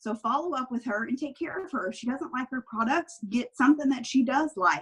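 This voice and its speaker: This woman's voice is high-pitched and moves at a moderate pace. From Kentucky. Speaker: direct sales team leader. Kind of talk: training talk on a group call. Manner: animated.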